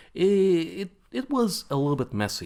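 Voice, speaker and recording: Against a silent background in a very clean recording, a man speaks with a Latvian accent. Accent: Eastern European (Latvian). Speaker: games company CEO. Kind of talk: conference talk. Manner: halting, many fillers.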